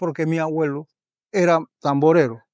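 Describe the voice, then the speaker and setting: Speaking at a moderate pace with fairly even intonation, a man with a high pitch sounds dry and close with no echo, in a very clean recording with a silent background. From Panama, Herrera province (Parita). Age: 60s. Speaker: folk drummer and drum maker. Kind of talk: interview. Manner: halting.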